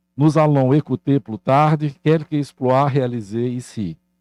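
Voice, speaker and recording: A man speaks very slowly in a dark, mellow tone with ordinary pitch variation, the sound dry and close with no echo against a quiet background. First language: Portuguese (speaking French). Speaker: university leader. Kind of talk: formal welcome speech.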